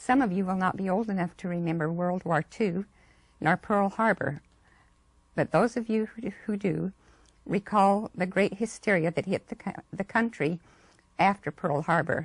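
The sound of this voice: A woman talks at a moderate pace in a fairly low voice. Her pitch varies ordinarily, with a slightly husky edge.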